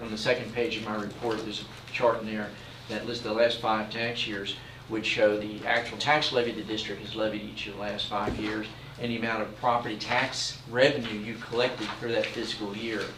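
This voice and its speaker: The speaker has an American accent and a monotone, flat delivery at a fairly quick pace. Room echo is audible, and background noise is noticeable. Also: man, medium pitch for a man. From Philadelphia, US Northeast. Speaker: property tax collector reporting to school board. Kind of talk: report to school board meeting. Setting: school board meeting room. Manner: hesitant, many fillers.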